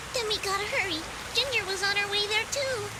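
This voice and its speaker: A woman does a squeaky, put-on character voice at an extremely high pitch and a fairly quick pace. Her loudness stays very even over loud background noise. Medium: video game. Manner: lively, casual.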